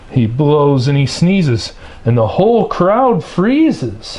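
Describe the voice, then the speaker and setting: Noticeable noise runs through the background. Against it, a man's intonation rises and falls in a lively way. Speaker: storybook reader. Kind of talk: children's picture book read-aloud.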